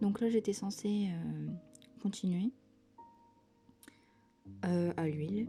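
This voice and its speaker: Soft-spoken and calm in tone, the voice moves at a very slow pace with long, frequent pauses as music plays in the background. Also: woman. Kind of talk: casual talk to camera, art vlog. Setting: home, quiet cozy ASMR-style recording. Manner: soft-spoken, calm.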